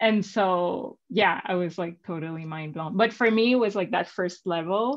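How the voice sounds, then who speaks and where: With a Spanish accent, the speaker goes at a fairly slow pace and shows ordinary pitch variation. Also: woman. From Venezuela. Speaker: entrepreneur and coach. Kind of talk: interview. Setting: livestream video call. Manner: animated, many fillers.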